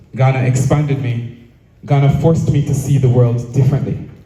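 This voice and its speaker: With audible room echo, a man speaks at a medium pitch and a moderate pace. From Jamaica. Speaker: speaker at cultural event. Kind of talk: prepared speech. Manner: formal.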